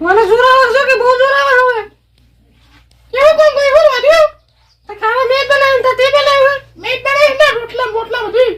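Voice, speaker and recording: A woman performs a put-on character voice at an extremely high pitch. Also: moderate pace, ordinary pitch variation. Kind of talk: village comedy sketch. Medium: voice reel. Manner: grumbling.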